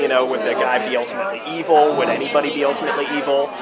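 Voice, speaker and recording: Against crowd noise in the background, a man speaks at a fairly high pitch. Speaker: animation filmmaker. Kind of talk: interview answer. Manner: casual, hesitant.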